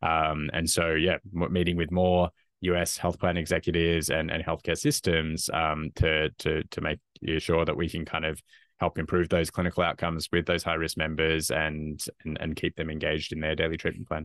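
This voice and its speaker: A man with an Australian accent speaks at a moderate pace in a very deep, low voice with monotone, flat intonation. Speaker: health tech company founder and executive. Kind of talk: interview.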